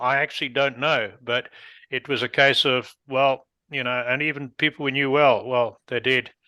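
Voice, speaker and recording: A bright, sharp southern African accent at a moderate pace, dry and close with no echo, on a very clean recording with a silent background. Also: man. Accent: non-North American, southern African. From Rhodesia (Zimbabwe), southern Africa. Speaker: podcast host. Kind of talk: interview conversation.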